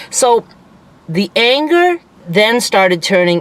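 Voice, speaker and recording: A woman at a very slow pace with lively intonation, against noticeable background noise. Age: 60s. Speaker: vlogger. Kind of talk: personal vlog monologue. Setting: in a parked car. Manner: casual, halting.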